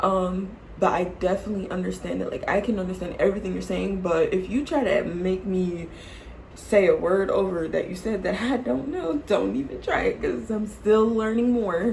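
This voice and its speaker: Animated and moderately paced, a woman speaks in an American accent. Audible room echo and noticeable background noise fill the recording. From Florida, US (Jacksonville). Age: 20s. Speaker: YouTuber, nursing home worker. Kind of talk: casual Q&A vlog.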